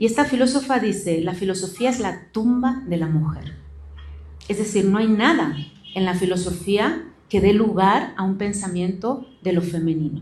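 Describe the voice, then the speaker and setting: A somewhat breathy woman at medium pitch, with lively intonation, a moderate pace and audible room echo. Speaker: philosophy professor. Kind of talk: book presentation talk. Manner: some stammering.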